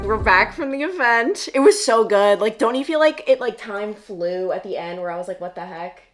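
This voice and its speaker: Over music in the background, a woman with a fairly high voice speaks at a moderate pace with hardly any pauses. Her pitch swings very widely and her loudness rises and falls sharply. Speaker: vlogger and TV news reporter. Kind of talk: casual chat. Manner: animated.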